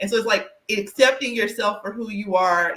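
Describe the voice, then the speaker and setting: Bright and sharp in tone, a woman speaks at a medium pitch with ordinary pitch variation. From US South. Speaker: career coach and podcast host. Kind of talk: casual interview chat.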